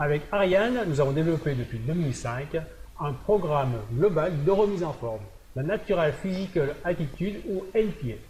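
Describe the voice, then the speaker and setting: A man with an ordinary speaking voice and a fairly high pitch speaks at a moderate pace with lively intonation. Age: 60s. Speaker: fitness coach. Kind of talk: presentation video.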